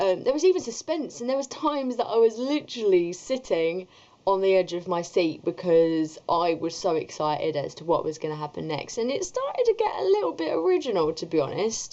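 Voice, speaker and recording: Her pitch rises and falls very widely. This woman talks fairly quickly. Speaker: book reviewer. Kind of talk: casual video review. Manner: animated.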